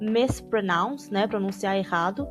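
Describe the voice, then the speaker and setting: Music plays behind a woman whose intonation is fairly even. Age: adult. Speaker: language-learning youtuber. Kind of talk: tutorial. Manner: casual, conversational.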